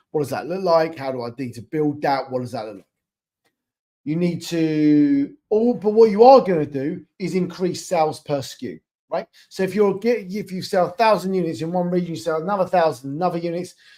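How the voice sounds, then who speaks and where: The voice has a dark, mellow tone and a British accent, moving at a fairly quick pace. Its intonation is lively, and its loudness swings widely. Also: man, high pitch for a man. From England. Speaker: e-commerce expansion consultant. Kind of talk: webinar presentation. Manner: casual, with filler words.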